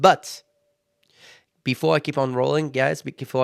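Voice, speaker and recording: Recorded very cleanly against a silent background, with a dry, close sound and no echo, a man speaks at a medium pitch and moderate pace in a French accent. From France. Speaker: podcast host. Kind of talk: motivational podcast monologue. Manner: halting.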